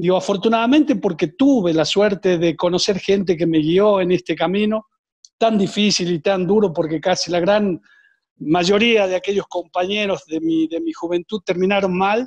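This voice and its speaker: Heard in a dry, close sound with no echo, a man with a high pitch speaks at a moderate pace with ordinary pitch variation. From Argentina. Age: 60s. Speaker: former footballer and coach. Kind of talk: interview. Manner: hesitant, frequent fillers and repetitions.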